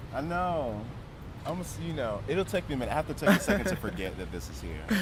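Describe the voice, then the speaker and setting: A man with an American accent talks at a very fast pace, with vocal fry. His pitch swings very widely. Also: medium pitch for a man. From US Mid-Atlantic, Prince George's County, Maryland. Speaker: choreographer and dancer. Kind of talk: interview conversation. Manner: casual, hesitant with fillers.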